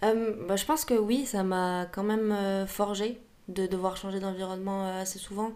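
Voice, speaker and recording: A woman's dark, mellow voice at a fairly slow pace, with fairly even intonation and audible room echo. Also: medium pitch for a woman. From Paris, France. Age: 20s. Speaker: singer-songwriter. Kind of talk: casual interview. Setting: podcast recording. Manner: hesitant, many fillers.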